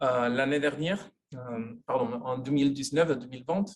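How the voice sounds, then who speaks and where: A man speaking at a fairly slow pace with a Spanish accent. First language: Spanish (speaking French). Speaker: sociologist, university professor. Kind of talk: lecture. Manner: halting, many hesitations.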